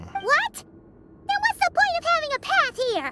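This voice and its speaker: A squeaky put-on character voice at an extremely high pitch moves at a moderate pace over music in the background. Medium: video game. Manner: excitable.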